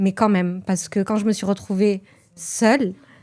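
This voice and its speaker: This woman talks fairly slowly at a medium pitch, her intonation fairly even. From France, Toulouse. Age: 30s. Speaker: journalist. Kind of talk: testimony interview. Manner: hesitant.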